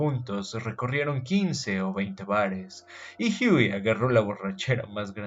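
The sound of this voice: The clip features an unforced reading voice.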